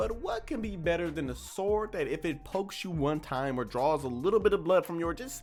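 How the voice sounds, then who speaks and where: The pace of the speech is moderate. Behind it, music plays. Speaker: anime commentary youtuber. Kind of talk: casual commentary monologue. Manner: animated; stuttering at times.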